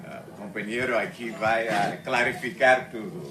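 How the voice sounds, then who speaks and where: Audible room echo and noticeable background noise surround a man's voice. He speaks at a medium pitch and a fairly slow pace with lively intonation. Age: 70s. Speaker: retired museum researcher and speaker. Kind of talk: talk at a discussion circle. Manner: halting, many fillers and self-corrections.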